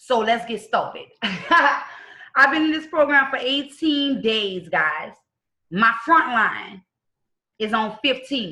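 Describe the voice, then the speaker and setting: A woman speaks at a very slow pace with a New Orleans accent and a high pitch. Her tone is bright and sharp, and her intonation is lively. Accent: rough New Orleans. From US South, New Orleans. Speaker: network marketing team member. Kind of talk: testimonial.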